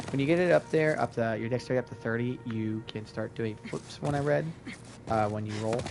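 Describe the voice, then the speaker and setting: A man speaks fairly quickly at medium pitch, with ordinary pitch variation, against noticeable background noise. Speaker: gaming streamer. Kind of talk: gameplay tutorial. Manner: loud; casual, hesitant fillers. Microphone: mic volume issues, too loud.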